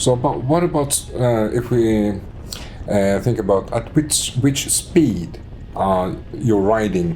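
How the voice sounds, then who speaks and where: A man speaks at a very slow pace with a medium pitch, lively intonation and very even loudness. Noticeable background noise and audible room echo fill the recording. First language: Swedish. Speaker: motorcycle vlogger. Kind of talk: casual chat. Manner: halting.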